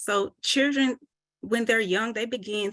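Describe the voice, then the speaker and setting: A woman with an American accent speaks at a moderate pace against a quiet background. Her voice is bright, sharp and shaky, with ordinary pitch variation. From US South. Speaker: mental health presenter. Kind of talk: presentation. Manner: shaky voice.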